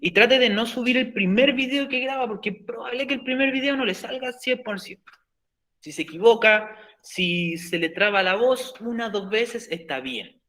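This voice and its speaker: Speaking with a Chilean accent, a man projects a raised voice that is extremely high in pitch, with a bright, sharp tone. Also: ordinary pitch variation. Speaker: teacher. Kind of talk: lecture. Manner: fast.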